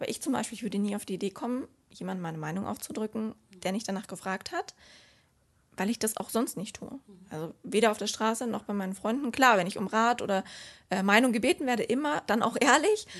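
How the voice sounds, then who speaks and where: The speech runs at a very fast pace with lively intonation. The background is quiet. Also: woman, fairly high pitch for a woman. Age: 20s. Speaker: student and social media influencer. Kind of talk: interview. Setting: office.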